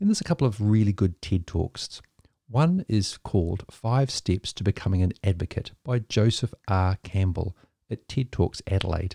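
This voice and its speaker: Somewhat breathy and dark and mellow in tone, a voice with a New Zealand accent moves at a moderate pace with ordinary pitch variation, dry and close with no echo on a very clean recording with a silent background. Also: man, fairly low pitch for a man. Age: 50s. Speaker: podcast host in maritime ministry. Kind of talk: scripted narration.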